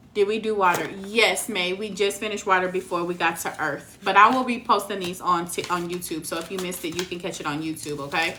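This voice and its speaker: A woman's medium-pitched voice with an American accent, very fast and with hardly any pauses, fairly even in intonation, over noticeable background noise. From Texas. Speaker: tarot reader. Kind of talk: live stream reading. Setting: live stream.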